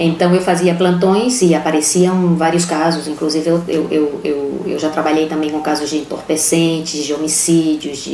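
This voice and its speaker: Over noticeable background noise and audible room echo, a woman with a very deep, low pitch speaks at a moderate pace with fairly even intonation. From Brazil, Aracaju, Sergipe. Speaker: lawyer, former police chief. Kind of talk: interview testimony. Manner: halting.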